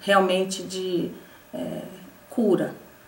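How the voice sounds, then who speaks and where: Very slowly, a woman speaks at a medium pitch. Noticeable background noise and audible room echo come through. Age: 60s. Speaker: patient giving a testimonial. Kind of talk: testimony. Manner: halting, with frequent fillers and repetitions.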